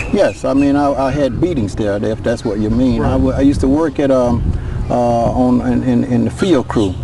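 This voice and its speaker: The sound is dry with no echo. Noticeable background noise runs underneath. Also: man, moderate pace. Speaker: former reform school inmate. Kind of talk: interview testimony. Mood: somber, recalling painful past. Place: open country.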